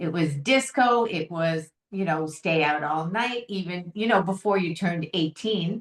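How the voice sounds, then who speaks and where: With lively intonation, an ordinary speaking voice proceeds at a fairly slow pace. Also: woman, fairly low pitch for a woman. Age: 60s. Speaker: founder of a sobriety organization. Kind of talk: interview.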